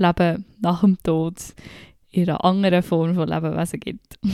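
The recording is very clean, with a silent background and a dry, close sound with no echo. The voice has a dark, mellow tone and monotone, flat intonation. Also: woman. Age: 20s. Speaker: podcaster. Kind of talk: personal monologue.

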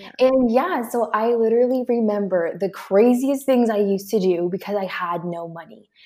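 A woman's voice with ordinary pitch variation and big swings in loudness, over noticeable background noise. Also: fairly high pitch for a woman, moderate pace. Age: 20s. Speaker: online business coach. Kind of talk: interview.

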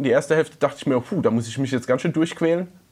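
A man with a fairly high pitch and ordinary pitch variation is heard on a very clean recording with a silent background. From Palatinate, Germany. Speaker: podcast co-host. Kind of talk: casual chat.

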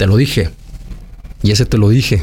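A man's fairly low voice comes across somewhat breathy, with a dark, mellow tone. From Mexico, Aguascalientes. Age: 40s. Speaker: actor and mayoral candidate. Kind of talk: interview. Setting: restaurant.

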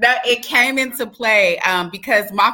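A woman with a normal speaking voice and an American accent, at a fairly slow pace. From Texas (Dallas), parents from Alabama and Louisiana. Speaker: mayoral candidate and former prisoner, speaker. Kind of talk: interview, telling life story. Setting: online live stream interview.

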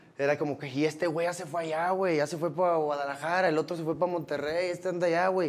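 A fairly high-pitched man at a fairly quick pace, with monotone, flat intonation. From Mexico, Los Cabos. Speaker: rapper. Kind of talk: casual chat.

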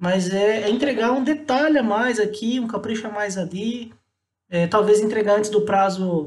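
This is a man speaking. His pitch is high. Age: 30s. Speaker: marketing specialist. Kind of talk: casual interview.

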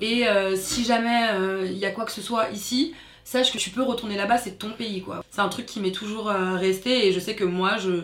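With noticeable background noise, a woman speaks at medium pitch and a moderate pace with fairly even intonation. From France, Paris suburbs (Seine-Saint-Denis). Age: 30s. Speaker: activist, daughter of Congolese immigrant. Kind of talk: casual interview.

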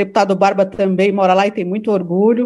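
Medium in pitch and fairly even in intonation, a woman speaks in an unremarkable speaking voice. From São Bernardo do Campo, São Paulo state, Brazil. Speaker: political activist and law student. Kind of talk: casual chat.

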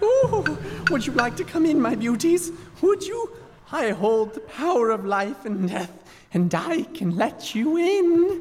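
A man speaks in a put-on character voice pitched extremely high for a man, with big pitch swings and a fairly slow pace.

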